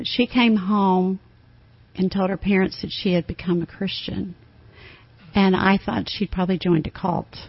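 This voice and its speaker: Somewhat breathy woman's speech, medium in pitch, moderate in pace. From Tennessee. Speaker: campus ministry staff. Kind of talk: radio interview. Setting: studio.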